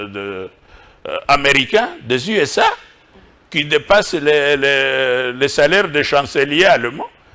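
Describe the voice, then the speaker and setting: Very slow and broken by long, frequent pauses, a man's fairly high, bright and sharp voice carries lively intonation. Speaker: professor and think-tank director. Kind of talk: TV interview. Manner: deliberately slow.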